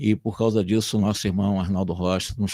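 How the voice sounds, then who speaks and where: Over a dry, close sound with no echo, a man speaks at a moderate pace. His very deep, low pitch stays monotone and flat. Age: 70s. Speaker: spiritist lecturer. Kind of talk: religious lecture. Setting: online video call.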